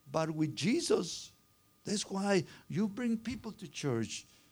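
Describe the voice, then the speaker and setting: A man speaks very slowly with a Spanish accent and lively intonation. The recording is very clean, with a silent background. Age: 60s. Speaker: pastor. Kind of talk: sermon. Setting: church.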